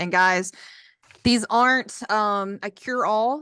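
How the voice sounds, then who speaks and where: A woman talks at a fairly slow pace in a bright, sharp tone with ordinary pitch variation. The sound is dry and close with no echo, over a quiet background. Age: 20s. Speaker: PhD student. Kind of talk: testimony. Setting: video call.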